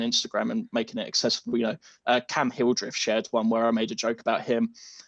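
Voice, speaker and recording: A very fast pace with an English accent. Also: man. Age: 20s. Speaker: basketball social media creator and history student. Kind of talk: podcast interview.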